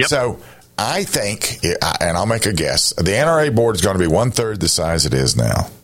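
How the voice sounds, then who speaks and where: A man with a fairly low voice talks at a moderate pace, his pitch swinging very widely while his loudness stays very even. Noticeable background noise is present. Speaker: radio talk show host. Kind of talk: radio interview.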